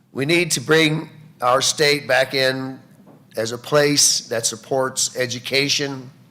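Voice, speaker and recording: Over noticeable background noise, a man with an American accent speaks at a very slow pace in a medium pitch, his intonation fairly even. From rural Illinois. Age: 60s. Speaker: political candidate. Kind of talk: debate opening statement. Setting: public debate with audience.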